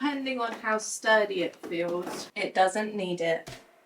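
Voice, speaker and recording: A British accent marks this woman's fairly high voice, with ordinary pitch variation. She speaks at a fairly slow pace. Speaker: DIY and home makeover vlogger. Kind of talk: casual vlog narration.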